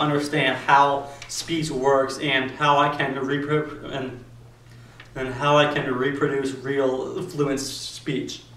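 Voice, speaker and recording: Over noticeable background noise and audible room echo, a man with a fairly high pitch talks at a very slow pace in monotone, flat intonation. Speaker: vlogger. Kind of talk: personal video monologue. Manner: halting with repetitions.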